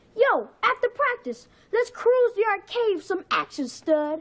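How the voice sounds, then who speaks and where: At a moderate pace, a woman puts on a character voice with an extremely high pitch. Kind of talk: casual slang. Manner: cocky, swaggering.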